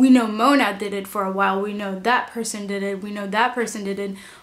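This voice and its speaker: At a moderate pace, a woman with a fairly high-pitched voice speaks amid audible room echo. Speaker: YouTuber reviewer. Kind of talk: casual TV review vlog. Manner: animated.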